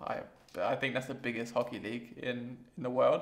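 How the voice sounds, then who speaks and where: Here a man talks with an English accent. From England. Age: 20s. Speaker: vlogger. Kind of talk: casual vlog monologue. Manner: hesitant, many fillers. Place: home room.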